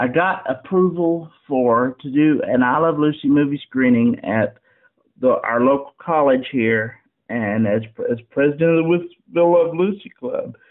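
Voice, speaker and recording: A man with a normal speaking voice talks at a fairly slow pace in a fairly high pitch with ordinary pitch variation. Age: 30s. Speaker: newspaper columnist and interviewer. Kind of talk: interview conversation.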